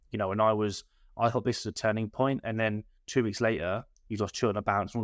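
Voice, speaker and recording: A man's medium-pitched voice at a very fast pace. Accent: English. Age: 20s. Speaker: football manager. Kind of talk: casual chat.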